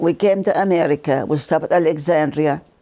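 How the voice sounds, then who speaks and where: Her pitch is very deep and low, and her tone dark and mellow, with a Lebanese accent. This woman speaks at a moderate pace with fairly even intonation. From Lebanon. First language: Arabic. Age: 80s+. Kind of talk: interview answer.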